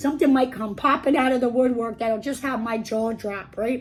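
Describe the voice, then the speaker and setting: Using a raspy put-on character voice, a woman speaks at a high pitch and a moderate pace over light background noise. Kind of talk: casual storytime reading. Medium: read story. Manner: chatty, filler-heavy, animated.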